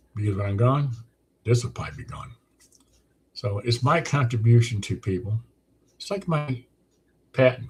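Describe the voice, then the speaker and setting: A somewhat breathy male voice of medium pitch at a moderate pace. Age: 70s. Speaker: weight loss program creator. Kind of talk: monologue sales pitch. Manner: casual, repetitive with false starts.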